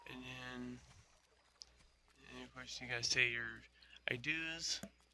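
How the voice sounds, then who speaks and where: Speaking very slowly, a man keeps a medium pitch and fairly even intonation while his loudness swings widely. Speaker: gaming youtuber. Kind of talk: gameplay commentary. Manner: halting; casual.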